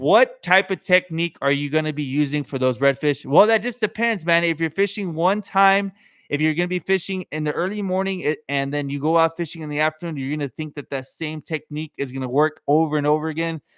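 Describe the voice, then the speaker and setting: A man talks in an animated tone at a fairly high pitch, with ordinary pitch variation, a fairly quick pace and hardly any pauses. The sound is dry and close with no echo, and the background is quiet. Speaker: fishing YouTuber. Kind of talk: livestream tutorial. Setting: home podcast room livestream. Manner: fast; casual, animated.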